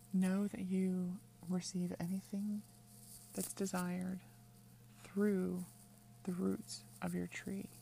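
Very slowly, with long, frequent pauses, a woman speaks in a dark, mellow, somewhat breathy tone. Her pitch is medium and her intonation lively. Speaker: witchcraft teacher and podcast host. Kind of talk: guided meditation, tree-root visualization; scripted-style podcast intro with ad. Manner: calm, slow, soothing, instructive.

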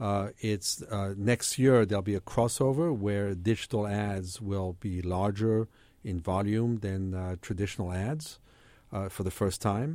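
The recording is very clean and the background silent. In it, a man talks fairly slowly. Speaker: venture capitalist. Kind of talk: interview. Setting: studio. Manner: halting.

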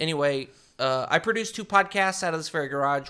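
A man's bright, sharp, animated voice with lively intonation, on a very clean recording with a silent background. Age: 30s. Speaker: podcast producer, returning guest. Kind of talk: casual chat.

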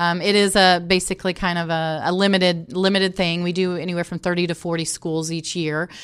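A woman with a Midwestern American accent, fairly low and monotone, at a fairly quick pace with hardly any pauses, in a very clean recording with a silent background. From Indianapolis, Indiana, US Midwest. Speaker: sports team community relations director. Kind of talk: interview.

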